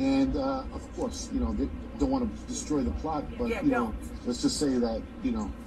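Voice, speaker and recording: Over clear music in the background, a man with an American accent talks at a moderate pace. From New York City (Brooklyn); New York City. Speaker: filmmaker; guest. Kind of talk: TV interview. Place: home room.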